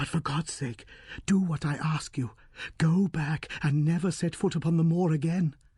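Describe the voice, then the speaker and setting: A man performs a put-on character voice. His pitch is fairly high. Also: moderate pace. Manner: eager, pleading, urgent.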